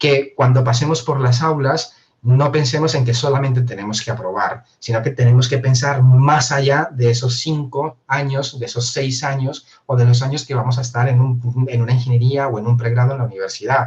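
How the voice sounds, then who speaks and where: A man's medium-pitched voice at a moderate pace, fairly even in intonation, with hardly any pauses. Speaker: university professor. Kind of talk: interview.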